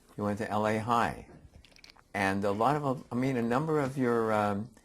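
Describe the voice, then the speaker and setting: Audible room echo surrounds a man with an American accent who speaks at a moderate pace with a medium pitch and ordinary pitch variation. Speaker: appellate judge interviewer. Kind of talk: oral history interview. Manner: casual, joking.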